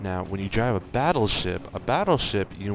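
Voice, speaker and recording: A man speaks quietly at a fairly low pitch, with noticeable background noise behind him. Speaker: gaming video creator. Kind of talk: gameplay commentary. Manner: quiet, held back; casual, rambling.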